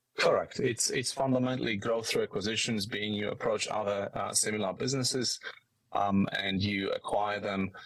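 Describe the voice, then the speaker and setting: A man with a strong Polish accent at a moderate pace. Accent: thick Polish. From Poland. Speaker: business executive. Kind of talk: podcast interview. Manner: halting, many fillers.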